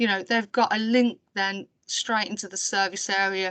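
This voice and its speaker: A woman with a Birmingham accent, fairly even intonation, a quiet background, and a dry, close sound with no echo. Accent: Brummie. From Birmingham, England. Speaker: council IT programme staff presenting. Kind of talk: webinar presentation. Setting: online webinar.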